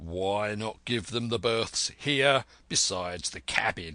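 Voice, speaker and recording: A put-on character voice from a man, raspy and fairly low in pitch, at a fairly slow pace. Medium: read story. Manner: blunt, terse.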